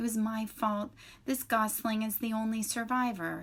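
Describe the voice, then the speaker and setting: Someone speaks in a put-on character voice at a moderate pace. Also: woman, fairly high pitch for a woman. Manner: cheerful.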